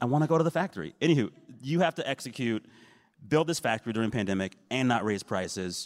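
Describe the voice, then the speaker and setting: With an American accent, the speaker talks at a very fast pace with very wide pitch swings, on a very clean recording with a silent background and a dry, close sound with no echo. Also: man, medium pitch for a man. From San Antonio, Texas. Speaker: panel moderator. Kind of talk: panel discussion. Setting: stage with audience.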